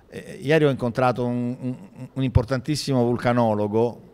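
A man is talking. His pitch moves in a normal way. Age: 50s. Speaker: historian and city culture official; speaker. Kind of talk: panel discussion. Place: hall. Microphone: handheld.

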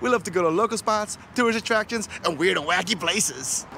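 Against noticeable background noise, a man uses a raised, projected voice in a dry sound with no echo. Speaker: family travel vlogger. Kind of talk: casual vlog chat. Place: street. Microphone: phone near.

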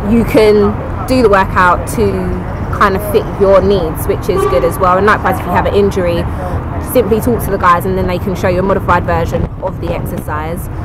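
A woman's fairly quick speech, dry with no echo, under loud background noise. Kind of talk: casual vlog chat. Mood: upbeat, positive review. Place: garden. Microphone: phone near.

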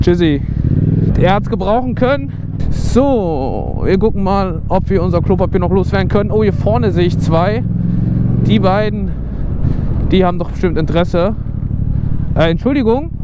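A man speaks at a moderate pace with long, frequent pauses. The sound is dry with no echo, though background noise is loud. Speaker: motovlogger. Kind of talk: casual vlog chat. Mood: playful, joking. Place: street. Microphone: helmet.

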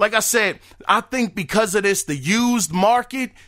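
A man's voice, high-pitched, raised and projected, has a bright, sharp tone. He moves at a moderate pace with lively intonation. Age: 40s. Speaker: gaming podcast host. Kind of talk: casual solo podcast monologue. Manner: animated.

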